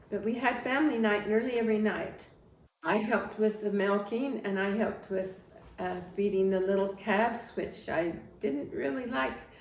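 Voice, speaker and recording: A woman with an American accent speaks at medium pitch and a moderate pace, with ordinary pitch variation and audible room echo. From Wyoming, US Mountain West (rural). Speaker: family history interviewee. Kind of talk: life story interview. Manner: halting, with restarts.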